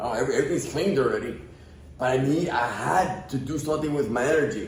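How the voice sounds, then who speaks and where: Audible room echo and noticeable background noise behind a man speaking fairly high, his pitch varying in an ordinary way. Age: 50s. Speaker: podcast guest. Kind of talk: casual chat.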